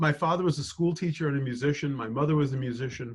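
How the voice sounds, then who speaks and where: A man with a fairly high, somewhat breathy voice speaks at a fairly quick pace with ordinary pitch variation. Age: 60s. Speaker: financial planner. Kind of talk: interview.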